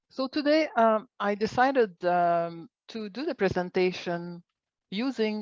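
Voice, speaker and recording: Against a quiet background, a woman with a Quebec accent uses lively intonation in a dry sound with no echo. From Quebec, Montreal. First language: French. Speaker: organic agriculture coordinator and biologist; presenter. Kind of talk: online presentation. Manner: halting. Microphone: webcam.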